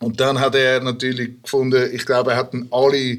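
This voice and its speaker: Fairly slow speech with a Swiss accent. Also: man. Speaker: rapper and hip-hop producer. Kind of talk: casual chat.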